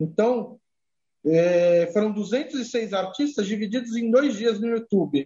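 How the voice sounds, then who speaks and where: A man speaks with a high pitch and ordinary pitch variation. His pace is very slow. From Brazil, Santos (Baixada Santista, São Paulo coast). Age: 30s. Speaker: music journalist and editor-in-chief. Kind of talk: casual interview chat.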